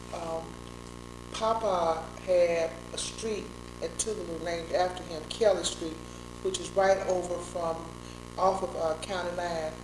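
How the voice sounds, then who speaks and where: A woman speaks at a fairly slow pace with long, frequent pauses. Audible room echo and noticeable background noise surround her voice. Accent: Mississippi. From Mississippi (Meridian, Forest). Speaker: attorney, civil rights veteran. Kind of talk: oral history interview.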